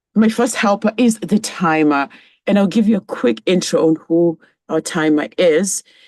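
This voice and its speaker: Recorded with a dry, close sound, no echo and a quiet background, a woman with a Kenyan accent speaks at a moderate pace and medium pitch, her intonation lively and her loudness very even. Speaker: club general evaluator. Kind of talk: meeting role speech.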